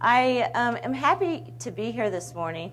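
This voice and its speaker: Audible room echo around a woman speaking at a moderate pace. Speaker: broadcast journalist and mediator. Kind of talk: presentation. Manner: loud.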